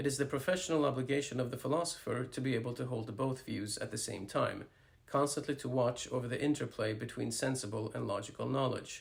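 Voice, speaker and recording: At a very fast pace with hardly any pauses, a man talks in a medium pitch with vocal fry and fairly even intonation. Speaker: philosopher and author. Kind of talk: book reading.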